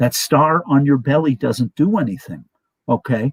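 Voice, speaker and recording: Fairly high-pitched and somewhat breathy, a man talks at a moderate pace. The sound is dry and close with no echo. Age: 60s. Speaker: guest on live stream talk show. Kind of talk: casual storytelling chat. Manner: animated.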